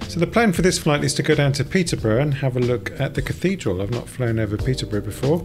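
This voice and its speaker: Amid noticeable background noise, a man races along at a very fast pace with lively intonation. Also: hardly any pauses. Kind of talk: narrated travel commentary.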